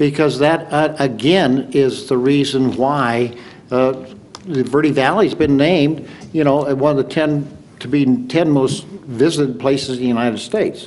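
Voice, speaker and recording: A man with a fairly high pitch at a fairly slow pace, amid noticeable background noise and audible room echo. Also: ordinary pitch variation. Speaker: city council candidate. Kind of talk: candidate forum answer. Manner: halting.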